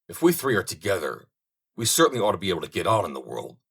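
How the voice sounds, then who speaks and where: Putting on a raspy character voice at a fairly low pitch, a man races along at a very fast pace with very wide pitch swings and big swings in loudness. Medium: read story. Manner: brisk, encouraging.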